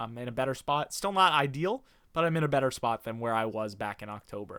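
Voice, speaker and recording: Lively intonation and a bright, sharp tone mark a man's medium-pitched voice. He talks at a fairly quick pace on a very clean recording with a silent background. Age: 20s. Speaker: YouTuber and language learner. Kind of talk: casual vlog reading own notes aloud. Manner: halting.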